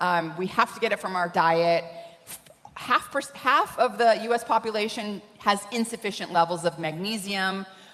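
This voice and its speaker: Noticeable background noise runs under a woman's voice. She speaks at a medium pitch and moderate pace with ordinary pitch variation. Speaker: scientist speaking on nutrition. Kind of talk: conference talk.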